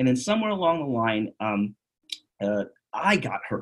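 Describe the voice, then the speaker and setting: Here a man with an American accent speaks at a moderate pace, his pitch swinging very widely. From New York City. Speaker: chiropractor. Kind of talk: casual interview.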